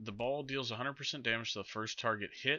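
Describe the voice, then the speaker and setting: Intonation stays fairly even in a normal speaking voice. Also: man. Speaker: guest. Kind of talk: casual chat about game patch notes.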